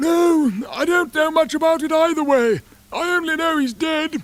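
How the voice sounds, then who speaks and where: A put-on character voice with high pitch moves at a moderate pace. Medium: read story. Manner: offhand, careless.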